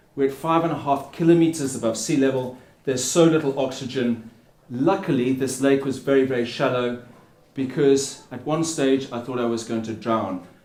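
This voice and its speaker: A man's voice with ordinary pitch variation and audible room echo. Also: medium pitch for a man, moderate pace. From England (Plymouth) and Africa. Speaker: endurance swimmer and ocean advocate. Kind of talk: public speech. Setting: stage with audience under a tent.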